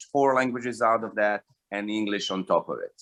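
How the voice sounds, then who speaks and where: Here a man speaks in a bright, sharp tone. The recording is dry and close, with no echo. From former Yugoslavia, Montenegro/Serbia/Bosnia. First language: Serbo-Croatian. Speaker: stand-up comedian. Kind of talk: stand-up. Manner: halting with fillers.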